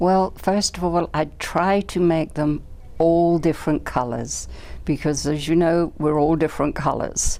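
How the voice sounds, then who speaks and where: This woman has an English accent and a very deep, low pitch. She talks at a fairly slow pace with fairly even intonation. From England. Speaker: doll maker. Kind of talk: interview.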